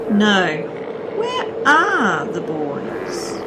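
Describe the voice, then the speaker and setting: Over loud background noise, a woman performs in a put-on character voice. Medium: audio drama. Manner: dry, understated.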